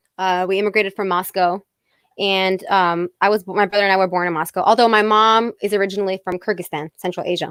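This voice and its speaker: A woman with an American accent talks at a medium pitch and a very fast pace. Her intonation is monotone and flat, and the sound is dry and close with no echo. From Fairfield County, Connecticut. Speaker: singer-songwriter. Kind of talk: interview.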